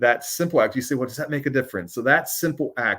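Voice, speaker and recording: A man speaks loudly on a very clean recording with a silent background. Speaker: ministry executive, live show host. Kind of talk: casual live-stream talk with encouragement. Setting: live stream broadcast. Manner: halting, many fillers.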